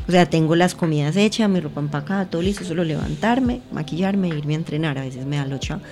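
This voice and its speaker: Over music in the background, a woman with a fairly low pitch and ordinary pitch variation speaks at a very fast pace. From Colombia, Pereira (coffee region). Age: 20s. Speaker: athlete and cannabis user. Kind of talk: casual chat.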